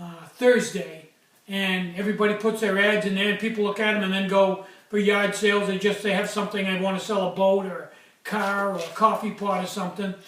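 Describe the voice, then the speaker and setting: A man's high-pitched, monotone, flat delivery at a fairly quick pace, with audible room echo and noticeable background noise. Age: 60s. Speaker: small craftsman, stove maker. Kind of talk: casual vlog. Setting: workshop. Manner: hesitant, many fillers.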